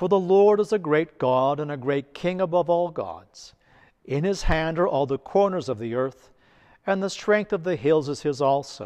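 Before a quiet background, a man speaks in a solemn tone at a moderate pace, his pitch fairly high and his intonation lively. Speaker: priest. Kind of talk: liturgical prayer reading. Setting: church, recorded for online video. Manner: solemn, reverent, measured. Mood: solemn, devotional. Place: church.

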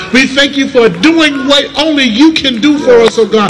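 A man speaks at an extremely high pitch with ordinary pitch variation, over noticeable background noise. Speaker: prayer leader. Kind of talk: fervent prayer. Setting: church. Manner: fervent, call-and-response exhortation. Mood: fervent, grateful. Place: street. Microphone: pa.

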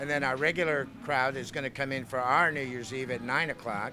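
With faint music in the background, a man delivers his words at a fairly quick pace. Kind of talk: interview answer. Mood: friendly, promotional. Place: bar. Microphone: handheld.

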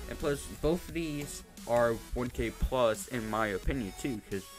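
A man speaks at a fairly slow pace over music in the background. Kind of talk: casual gaming commentary. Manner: rambling, hesitant.

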